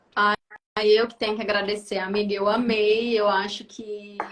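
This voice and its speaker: A woman speaks at a fairly slow pace in a fairly high pitch, her intonation flat and monotone. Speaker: psychiatrist. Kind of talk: casual chat. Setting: video call. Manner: calm.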